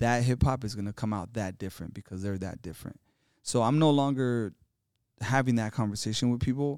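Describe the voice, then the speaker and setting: A man with a plain, everyday voice at medium pitch and ordinary pitch variation talks at a fairly quick pace on a very clean recording with a silent background. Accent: American. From Los Angeles (South Central), partly Mexico. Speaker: hip-hop artist and educator. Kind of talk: casual interview chat. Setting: conference venue in New Orleans.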